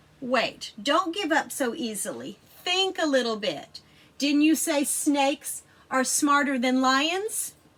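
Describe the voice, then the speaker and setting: In a loud, high-pitched, put-on character voice, the speaker goes at a fairly slow pace. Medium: read story. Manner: boastful, loud.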